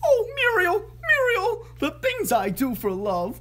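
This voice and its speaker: Over light background noise, a put-on character voice moves at a fairly slow pace. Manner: theatrical, dramatic.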